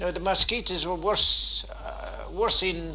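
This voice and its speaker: The speaker has a Waterford accent, heard over noticeable background noise. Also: man. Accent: Irish, Waterford. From Dunmore East, County Waterford, Ireland. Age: 80s+. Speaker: former fisherman and traveller. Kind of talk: interview answer.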